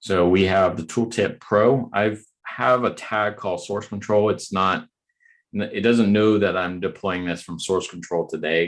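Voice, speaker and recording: Against a quiet background, a man with a plain, everyday voice speaks at a fairly low pitch with fairly even intonation. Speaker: software developer advocate. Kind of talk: technical presentation with live demo. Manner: casual, many fillers.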